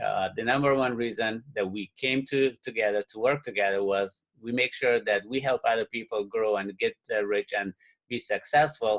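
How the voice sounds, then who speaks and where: A man with a non-native accent speaks at a moderate pace and medium pitch, with fairly even intonation and hardly any pauses, in a dry, close sound with no echo. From Afghanistan. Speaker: real estate investor and webinar presenter. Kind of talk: webinar presentation. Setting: webinar with phone listeners. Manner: hesitant with frequent fillers.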